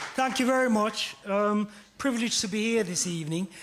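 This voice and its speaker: Ordinary pitch variation from a man. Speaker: poet. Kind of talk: poetry performance with audience participation.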